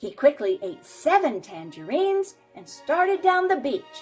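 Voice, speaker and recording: Against music in the background, a woman speaks at a fairly slow pace with very wide pitch swings. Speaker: storyteller. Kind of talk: children's story read-aloud.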